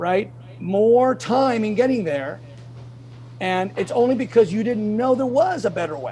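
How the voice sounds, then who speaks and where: An animated, high-pitched male voice at a fairly slow pace, with very wide pitch swings, over noticeable background noise. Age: 60s. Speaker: bodybuilder. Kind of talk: interview.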